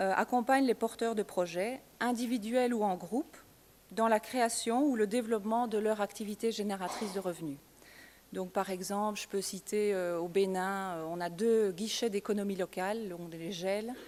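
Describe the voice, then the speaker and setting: A woman at a medium pitch talks moderately fast, her pitch varying in an ordinary way. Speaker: NGO staff presenter. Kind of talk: conference presentation. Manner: hesitant, many fillers.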